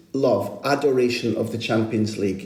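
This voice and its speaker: Over noticeable background noise and audible room echo, a man speaks at a moderate pace in a Scottish accent. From Scotland, Aberdeen. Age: 50s. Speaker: football journalist and podcast host. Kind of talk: interview.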